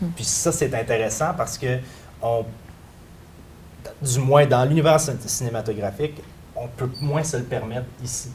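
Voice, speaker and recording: Fairly slow speech in a Quebec accent, with long, frequent pauses. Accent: Québécois French. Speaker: panelist on role-playing games. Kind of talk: round table discussion.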